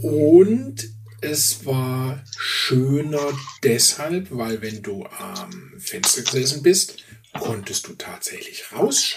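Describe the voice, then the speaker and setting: The speech moves at a very slow pace with lively intonation and big swings in loudness, over noticeable background noise. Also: man, fairly high pitch for a man. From Swabia, southern Germany. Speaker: podcast co-host. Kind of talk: casual chat.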